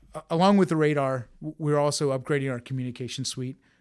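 A man at a very fast pace, medium in pitch and fairly even in intonation, on a very clean recording with a silent background. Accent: American. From Florida, Tampa. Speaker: Air Force officer, program leader. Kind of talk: interview. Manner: halting, many fillers and restarts.

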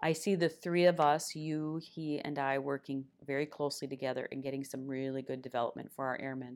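A woman with a very deep, low voice speaks at a fairly quick pace in an Upper Midwest accent. Her intonation stays fairly even. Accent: Upper Midwest (Minnesota). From northern Minnesota (Esko). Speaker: senior military enlisted leader. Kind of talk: casual interview.

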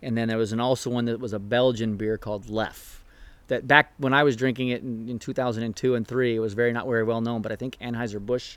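A man with a Californian accent speaks at medium pitch and a moderate pace, keeping his intonation fairly even. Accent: Californian American. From US West Coast, San Diego area. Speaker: naval officer and program officer. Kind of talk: casual chat. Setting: outdoors on a backyard patio.

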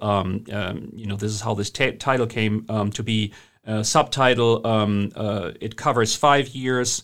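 A man speaks at a fairly slow pace in a German accent, with hardly any pauses. His intonation is fairly even in a very clean recording with a silent background. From Germany. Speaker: historian. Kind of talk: interview. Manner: halting, many filler words.

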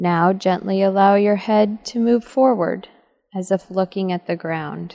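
Calm and soothing, a woman's dark, mellow voice at a medium pitch moves at a fairly slow pace with fairly even intonation, recorded with a dry, close sound and no echo. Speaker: meditation guide. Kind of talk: guided meditation. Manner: slow, calm, soothing, with long pauses; gentle, measured, instructive.

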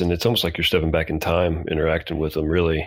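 A man with a very deep, low voice talks at a very fast pace in a monotone, flat delivery. Noticeable background noise is present. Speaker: podcast host. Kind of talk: casual interview.

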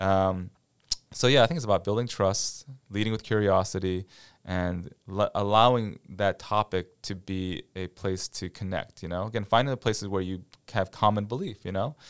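On a very clean recording with a silent background, a man with an American accent talks at a moderate pace and a fairly low pitch with fairly even intonation. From US Midwest, near Cleveland, Ohio. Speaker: military chaplain. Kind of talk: casual interview.

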